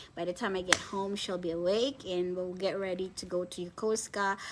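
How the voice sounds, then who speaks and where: A woman with a Filipino accent at a moderate pace. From Philippines. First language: Filipino language. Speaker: online reseller business owner. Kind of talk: live stream chat. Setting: live video stream. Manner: halting.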